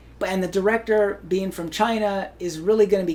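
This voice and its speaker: With an American accent, a man talks at a high pitch and a fairly quick pace over noticeable background noise. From Hawaii. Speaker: actor. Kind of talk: interview.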